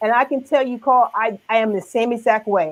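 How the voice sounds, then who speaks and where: A woman at a moderate pace. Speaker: business owner. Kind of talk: interview. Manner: halting.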